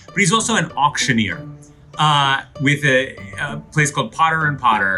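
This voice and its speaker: Music plays in the background. A man with a fairly high pitch speaks with lively intonation. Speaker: interviewer, co-founder. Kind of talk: interview host talk.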